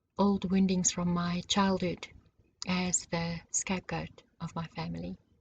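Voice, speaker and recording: A woman's fairly low, somewhat breathy voice, calm and gentle in tone, fairly slow, with monotone, flat intonation. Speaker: spiritual teacher. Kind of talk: personal monologue. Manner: calm, gentle.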